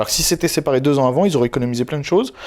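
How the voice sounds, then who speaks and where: His pitch shifts in an ordinary way. The man's voice sits at a medium pitch. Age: 20s. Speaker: YouTuber. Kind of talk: interview. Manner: loud, outspoken.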